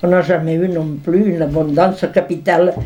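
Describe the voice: Speaking at a fairly slow pace, a woman has a fairly low pitch, a dark, mellow tone and fairly even intonation.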